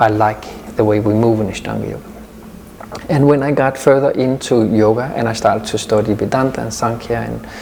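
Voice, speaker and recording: Noticeable background noise and audible room echo fill the clip. A man at medium pitch talks at a fairly quick pace with fairly even intonation. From Denmark, Copenhagen suburb. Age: 50s. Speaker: yoga teacher. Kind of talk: interview. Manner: halting.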